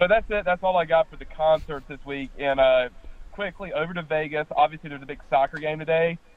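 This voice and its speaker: The man's pitch is fairly high and his intonation fairly even. He goes at a very fast pace with big swings in loudness. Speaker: radio co-host. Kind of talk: casual sports radio banter. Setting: phone call from home.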